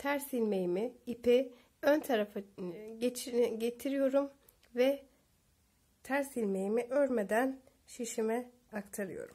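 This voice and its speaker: In a dark, mellow tone, a woman speaks at a high pitch and a very slow pace. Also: ordinary pitch variation. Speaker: knitting tutorial creator. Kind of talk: tutorial.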